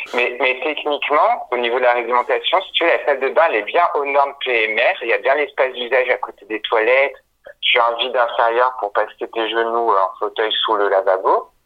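Here is a man with a plain, everyday voice. His pitch is medium with ordinary variation, and his pace is moderate. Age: 30s. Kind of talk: interview. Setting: phone call.

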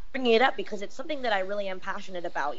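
A woman's medium-pitched voice with an American accent, with audible echo from the room. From Southern California. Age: 30s. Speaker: wrestling personality. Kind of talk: casual chat.

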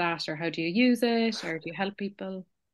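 A woman with an Irish accent speaking at a very fast pace, over a quiet background. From Ireland. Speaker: podcast host. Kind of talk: casual chat.

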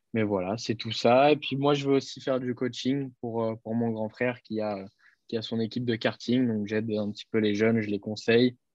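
Against a quiet background, a man speaks at a moderate pace and medium pitch, his intonation fairly even. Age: 20s. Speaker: racing driver. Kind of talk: interview. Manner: halting.

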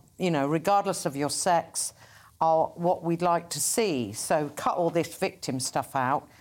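A woman talks in a normal speaking voice at a fairly low pitch and a fairly slow pace, with ordinary pitch variation. The recording is very clean and the background silent. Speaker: filmmaker. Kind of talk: casual panel discussion.

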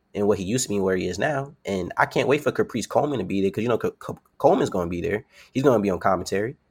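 In a New York accent, the speaker talks at a very fast pace with ordinary pitch variation on a very clean recording with a silent background. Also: man. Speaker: professional wrestler. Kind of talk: casual interview. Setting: podcast interview.

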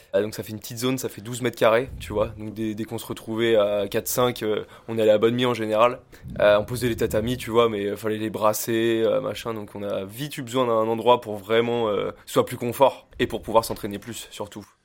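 A man's medium-pitched voice at a moderate pace, flat and monotone in intonation, with big swings in loudness. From France, Oléron island (Charente-Maritime). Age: 20s. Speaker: surf instructor and MMA gym founder. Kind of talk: casual chat. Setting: small home-built dojo.

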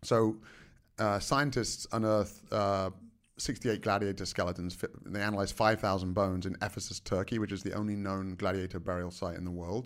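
With a fairly low pitch and fairly even intonation, a man talks at a fairly quick pace in a very clean recording with a silent background. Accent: American. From England. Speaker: martial artist and nutrition researcher. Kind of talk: interview.

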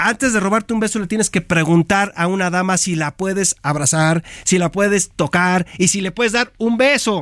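A man with a high pitch speaks at a moderate pace, with ordinary pitch variation. He hardly pauses at all, and the sound is dry and close with no echo. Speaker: sports analyst. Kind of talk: studio commentary. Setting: radio studio.

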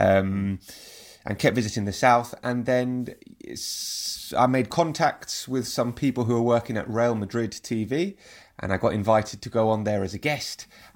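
Speaking at a moderate pace, a man with a London accent uses a medium-pitched voice with ordinary pitch variation. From London, England. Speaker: football TV presenter. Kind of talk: interview.

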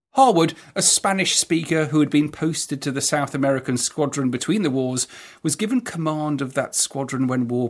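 This man has an ordinary speaking voice at a fairly high pitch. He talks at a moderate pace with ordinary pitch variation. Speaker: podcast host and historian. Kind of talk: scripted narration.

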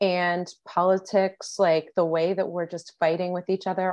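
With a quiet background, the talking proceeds at a moderate pace. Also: woman. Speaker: podcast host. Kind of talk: scripted intro; casual interview.

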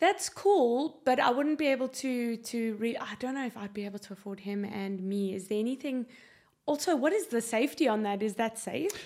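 A woman with a South African accent talks at a fairly quick pace, her fairly high pitch moving in lively intonation over noticeable background noise. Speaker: guest, prospective space tourist. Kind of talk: casual interview.

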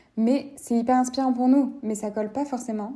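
At a moderate pace, a woman speaks in a dark, mellow, somewhat breathy tone with monotone, flat intonation. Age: 20s. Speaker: podcast host. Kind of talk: casual monologue.

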